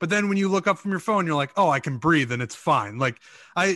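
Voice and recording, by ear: A man talks very fast in a high, bright, sharp voice with very wide pitch swings. The sound is dry and close with no echo, over a quiet background.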